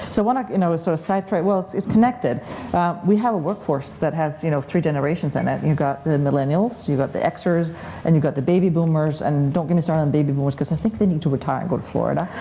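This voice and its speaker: In a Danish accent, a woman talks at a very fast pace with a very deep, low pitch and ordinary pitch variation, amid audible room echo and noticeable background noise. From Denmark. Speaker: panel moderator. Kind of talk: panel discussion. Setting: conference stage with audience.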